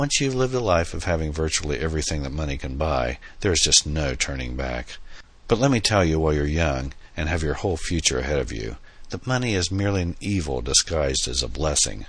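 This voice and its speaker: A man's very deep, low voice at a very fast pace with lively intonation, set against noticeable background noise. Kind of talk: dramatic audiobook narration, reading fiction aloud with character dialogue. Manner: measured, storytelling pace, expressive in dialogue lines, lightly theatrical.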